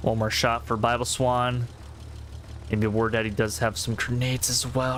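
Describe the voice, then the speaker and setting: The speaker talks loudly at a moderate pace over noticeable background noise. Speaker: game streamer and caster. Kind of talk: live game commentary; casual Q&A with chat.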